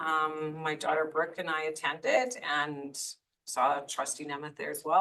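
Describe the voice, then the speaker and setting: At a moderate pace, the voice comes through with a bright, sharp tone. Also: woman. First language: French. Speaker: school board trustee. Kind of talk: board meeting report. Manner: hesitant, many fillers.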